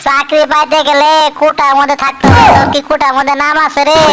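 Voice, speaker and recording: A cartoonish character voice speaks at a moderate pace over loud background noise. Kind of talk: comic overacting. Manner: rough rustic dialect, fast.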